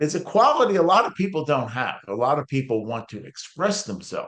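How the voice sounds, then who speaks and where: A man at a moderate pace, his pitch making very wide swings. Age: 70s. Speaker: author and preacher. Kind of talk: interview.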